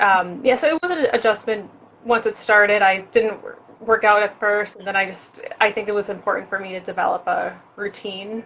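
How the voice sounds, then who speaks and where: A woman with a plain, everyday voice speaks at medium pitch with an American accent. Her pace is moderate and her pitch variation ordinary. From New York, Rockland County. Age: 20s. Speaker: fitness enthusiast. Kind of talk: interview.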